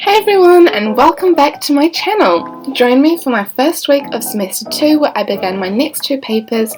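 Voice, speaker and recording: With a New Zealand accent, a woman talks at a moderate pace, her pitch swinging very widely. Music plays in the background. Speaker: nursing student. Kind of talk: vlog voice-over narration.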